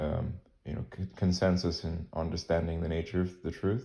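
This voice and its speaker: A man's very deep, low voice with a dark, mellow tone and fairly even intonation. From Jamaica. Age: 20s. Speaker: YouTuber. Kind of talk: monologue. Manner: halting, many fillers.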